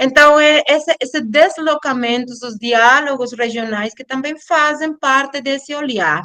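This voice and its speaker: A woman speaks very slowly in a high, bright, sharp voice with a non-native accent. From Colombia, Caribbean coast (Cartagena). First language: Spanish (speaking Portuguese). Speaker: anthropology professor and researcher. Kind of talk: academic lecture. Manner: halting, with false starts.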